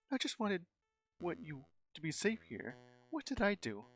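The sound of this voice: Over a quiet background, the lively intonation of an unforced reading voice stands out.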